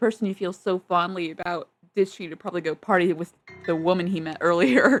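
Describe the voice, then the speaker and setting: Very fast speech with fairly even intonation. Music plays in the background. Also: woman, fairly low pitch for a woman. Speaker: gaming streamer. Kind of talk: let's play commentary reading game text aloud. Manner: stumbling over words.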